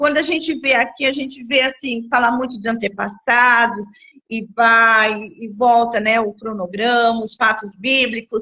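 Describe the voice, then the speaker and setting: Using a normal speaking voice, a woman speaks at a fairly slow pace with a fairly high pitch and fairly even intonation. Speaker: children's ministry teacher. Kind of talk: livestream lesson planning talk. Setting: live stream.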